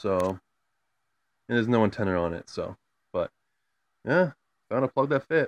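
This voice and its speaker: Lively intonation at a moderate pace, with long, frequent pauses and a dry sound with no echo. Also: man. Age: 20s. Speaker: YouTuber. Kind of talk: casual vlog, show-and-tell. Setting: at home, in and below the attic. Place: home room. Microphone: phone near.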